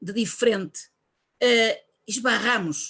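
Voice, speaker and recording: A woman's fairly high voice, very slow and full of lively intonation. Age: 60s. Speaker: Rotary club member asking question. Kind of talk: audience question. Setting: video call.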